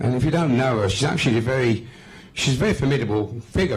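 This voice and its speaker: Talking very fast, a man with a West Midlands accent keeps a medium pitch with ordinary variation. Room echo is audible. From West Midlands, England. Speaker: political activist. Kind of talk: speech at a public meeting. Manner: hesitant, many fillers and repetitions.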